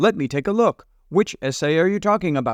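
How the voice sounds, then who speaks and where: A man puts on a character voice, pitched high and moving at a fairly quick pace. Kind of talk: formal, helpful.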